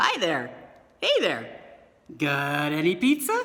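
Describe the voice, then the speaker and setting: Doing a put-on character voice, a woman speaks at a fairly slow pace with a fairly low pitch. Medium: read story. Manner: breezy, casual.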